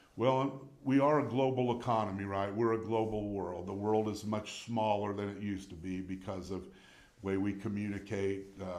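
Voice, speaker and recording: A man's fairly low voice with a Midwestern US accent, fairly even intonation and a moderate pace, in audible room echo. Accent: US Midwest. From Indiana, Lafayette. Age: 60s. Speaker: city mayor. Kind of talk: interview.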